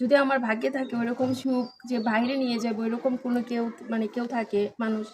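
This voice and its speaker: A woman speaks at a high pitch in a monotone, flat manner. Noticeable background noise is present. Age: 20s. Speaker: marriage seeker interviewee. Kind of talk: interview.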